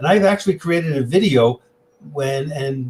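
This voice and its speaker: A man with a New York accent talks at a moderate pace, his fairly high pitch held in a fairly even intonation. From New York City. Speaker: tech presenter and music collector. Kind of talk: interview.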